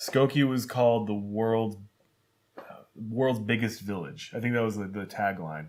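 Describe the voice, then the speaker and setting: A man with an American accent, medium pitch, ordinary pitch variation and a moderate pace, amid audible room echo. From Chicago suburbs, Illinois. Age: 30s. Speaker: writer. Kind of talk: casual interview.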